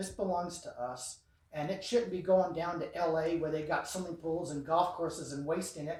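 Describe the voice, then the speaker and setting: With an American accent, a man talks at a moderate pace in a high pitch as noticeable background noise carries on. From US Southwest, New Mexico border ranching area. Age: 60s. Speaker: sheriff candidate. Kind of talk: campaign speech at meet-and-greet. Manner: animated.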